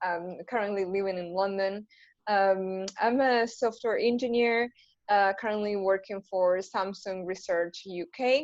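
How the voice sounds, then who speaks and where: A woman's medium-pitched voice with an Argentine accent, fairly even intonation and a fairly slow pace. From Argentina. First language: Spanish. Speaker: software engineer. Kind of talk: panel talk on video call.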